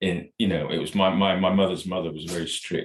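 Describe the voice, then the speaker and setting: This man talks at a fairly quick pace. He speaks with a North Welsh accent. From North Wales, Ruthin. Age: 60s. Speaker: podcast guest, religious devotee. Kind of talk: casual interview chat. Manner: halting, repetitive.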